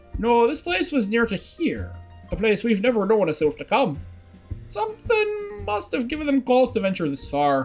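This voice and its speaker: A put-on character voice, gruff and fairly high-pitched, moves at a moderate pace over faint music in the background. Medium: game stream. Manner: gruff, old-fashioned phrasing.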